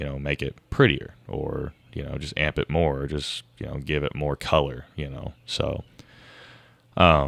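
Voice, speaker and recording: Monotone, flat intonation and vocal fry come through at a fairly slow pace. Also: man, very deep, low pitch for a man. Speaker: guitarist and singer. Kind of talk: casual chat. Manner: hesitant, many fillers.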